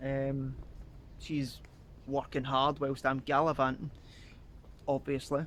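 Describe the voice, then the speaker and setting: A man with a Scottish accent speaks very slowly in a fairly high voice, his intonation flat and monotone, with long, frequent pauses. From Scotland. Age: 20s. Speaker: travel vlogger. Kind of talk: casual vlog narration.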